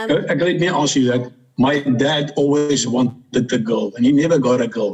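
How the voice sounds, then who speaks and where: A man speaks in a South African accent at a moderate pace. His voice is fairly high and somewhat breathy. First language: Afrikaans. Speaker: interviewee, adoptive brother. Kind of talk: interview. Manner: halting.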